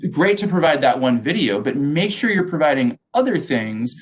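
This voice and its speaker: A man with an ordinary speaking voice talks at a moderate pace. His intonation is lively. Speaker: education technology presenter. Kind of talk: webinar presentation.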